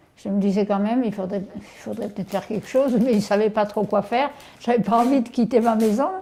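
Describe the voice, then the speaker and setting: Amid noticeable background noise, a woman speaks at a very fast pace. Her fairly high pitch follows fairly even intonation. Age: 80s+. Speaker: elderly widow hosting a student. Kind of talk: casual chat.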